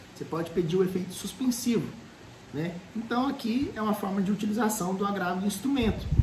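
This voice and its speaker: A Brazilian accent against noticeable background noise. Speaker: law professor. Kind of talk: lecture. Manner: fast; animated.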